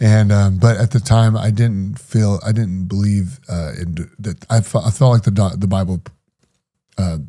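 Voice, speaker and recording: A man's fairly low voice with a dark, mellow tone, ordinary pitch variation and a moderate pace. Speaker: former preacher and ex-prisoner sharing his story. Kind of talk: podcast interview, personal testimony. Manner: halting, stuttering on hard topics.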